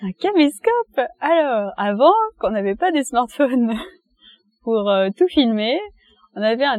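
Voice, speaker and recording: The pace is fairly slow. This woman's voice is high-pitched. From France, Reims. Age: 20s. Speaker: interviewee. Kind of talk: casual interview for language learners. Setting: outdoors in a park.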